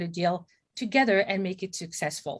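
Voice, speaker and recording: A woman in a French accent, medium in pitch, fairly quick, with ordinary pitch variation. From France, Paris. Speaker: M&A advisor, company CEO. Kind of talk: webinar presentation. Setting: video call.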